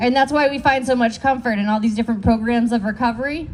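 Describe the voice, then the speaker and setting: Loud speech at a fairly quick pace with fairly even intonation. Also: woman. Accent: American. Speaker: recovery worker and speaker in recovery. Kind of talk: speech at community event.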